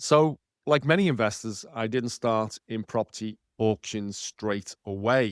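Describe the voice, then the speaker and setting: With a Liverpool accent and ordinary pitch variation, a man comes through in a very clean recording with a silent background and a dry, close sound with no echo. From northern England, Liverpool. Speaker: podcast host and property author. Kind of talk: podcast monologue.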